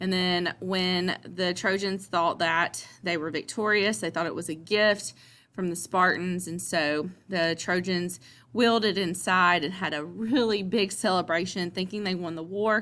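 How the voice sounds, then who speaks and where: A woman with a Southern US accent at a medium pitch, a fairly slow pace and fairly even intonation. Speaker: teacher. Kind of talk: lecture. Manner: casual, with many fillers.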